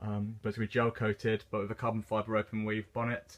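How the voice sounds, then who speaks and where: A man talks at a fairly quick pace with a medium pitch. He has an English accent, and the background is quiet. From England. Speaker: car builder, channel owner. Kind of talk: DIY build video, casual narration. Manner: hesitant, many fillers.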